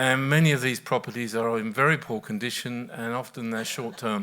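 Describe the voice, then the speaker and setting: A man's medium-pitched, bright and sharp voice, with fairly even intonation at a moderate pace. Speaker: professor. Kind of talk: panel discussion. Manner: soft-spoken.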